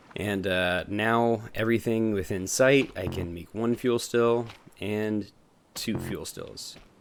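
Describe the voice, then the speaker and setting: The man's pitch is fairly low. His intonation stays fairly even. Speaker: gaming youtuber. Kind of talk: gameplay commentary. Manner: casual, many fillers; fast.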